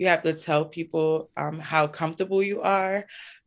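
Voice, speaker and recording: On a very clean recording with a silent background, a woman with a fairly low voice speaks at a fairly slow pace. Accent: New York. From US, Brooklyn, New York. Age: 30s. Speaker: local elected official. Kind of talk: interview.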